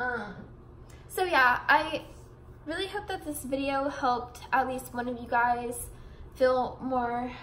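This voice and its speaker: A woman talks at a moderate pace in a high pitch, with audible room echo around her voice. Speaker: vlogger. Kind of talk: casual vlog monologue. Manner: rambling, mumbling.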